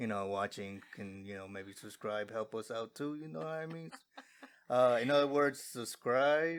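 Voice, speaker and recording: In an American accent, a man with a normal speaking voice talks at a moderate pace and medium pitch. His intonation is lively, with big swings in loudness. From USA, Guatemalan family. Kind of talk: casual chat.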